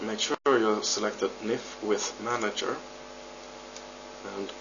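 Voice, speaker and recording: With noticeable background noise behind him, a man with a non-native accent speaks at a moderate pace. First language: not English. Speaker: 3D modder. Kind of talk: software tutorial narration. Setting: home recording, poor audio.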